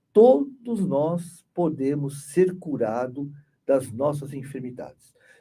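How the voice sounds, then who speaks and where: The voice is somewhat breathy. Its intonation stays lively. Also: man. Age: 60s. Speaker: spiritist study group leader and therapist. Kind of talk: spiritist study group talk. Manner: conversational, many repetitions and fillers.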